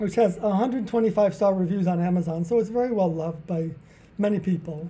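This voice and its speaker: Speaking at a very fast pace with a New Jersey accent, a man has a high pitch, a dark, mellow tone and ordinary pitch variation. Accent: American, New Jersey. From US Northeast, New Jersey. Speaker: author and charity founder. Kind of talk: interview.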